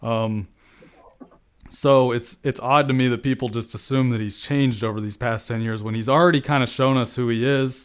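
A man with an unremarkable speaking voice talks at a medium pitch and a fairly quick pace, on a very clean recording with a silent background. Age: 20s. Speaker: football analyst. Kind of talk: casual chat.

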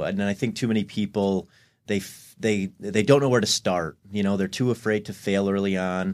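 A man speaks in a normal speaking voice. His pitch is fairly low, with ordinary variation. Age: 30s. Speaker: content creator and fitness influencer. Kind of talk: podcast interview.

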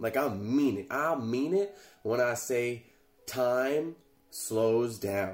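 Against noticeable background noise, a man speaks at a very slow pace. His medium-pitched voice has lively intonation. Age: 20s. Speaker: podcast host, content creator. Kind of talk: casual solo monologue. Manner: casual, halting with filler words.

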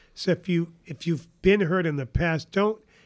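The voice carries a New England accent at a moderate pace with ordinary pitch variation. The recording is very clean, with a silent background. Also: man. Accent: New England American. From northern New Hampshire. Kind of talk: interview. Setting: studio at a kitchen table.

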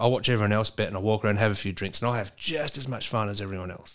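At a very fast pace, a man speaks at medium pitch in a very clean recording with a silent background. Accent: Australian. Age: 40s. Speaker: trucking business owner. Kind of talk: casual chat.

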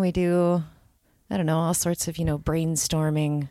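In a very clean recording with a silent background, a woman with a Michigan accent talks at a moderate pace with fairly even intonation. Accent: Upper Midwest (Michigan). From Grand Rapids, Michigan. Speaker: preacher and author. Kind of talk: casual chat.

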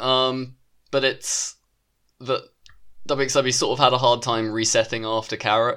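A man's bright, sharp voice in a British accent, medium in pitch and monotone and flat, at a moderate pace with long, frequent pauses, in a very clean recording over a silent background. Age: 20s. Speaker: wrestling podcast co-host. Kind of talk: casual chat.

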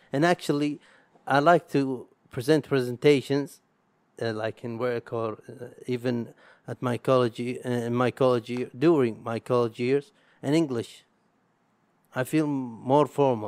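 A man talks fairly slowly with an Arabic accent, leaving long, frequent pauses. The sound is dry and close, with no echo. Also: medium pitch for a man, fairly even intonation. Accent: Arabic accent, struggles with R. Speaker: podcaster. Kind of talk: solo monologue. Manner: halting, many pauses.

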